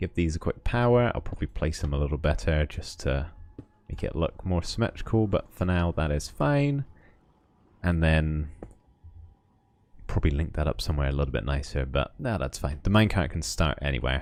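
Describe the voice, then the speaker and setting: A man with a slight West Country accent speaks at a fairly quick pace in a very deep, low voice. His intonation is lively, broken by long, frequent pauses. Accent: slight West Country accent, shows on r sounds. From West of England. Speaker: Minecraft streamer. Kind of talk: livestream commentary with chat. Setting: livestream. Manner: casual, chatty.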